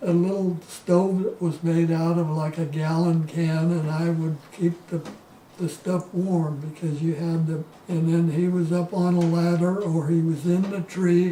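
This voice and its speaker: With an American accent, a man speaks in a high voice at a fairly slow pace with monotone, flat intonation. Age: 80s+. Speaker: oral history interviewee, retired orchardist. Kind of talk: oral history interview. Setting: at home. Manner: halting, with repetitions.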